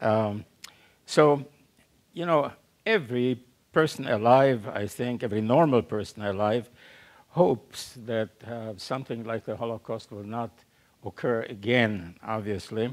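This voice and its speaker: With a German accent, a man speaks at a medium pitch and a fairly slow pace, with ordinary pitch variation, big swings in loudness, and long, frequent pauses. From Central Europe, German-speaking. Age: 90s. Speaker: Holocaust survivor speaker. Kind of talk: public talk. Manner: halting, many fillers.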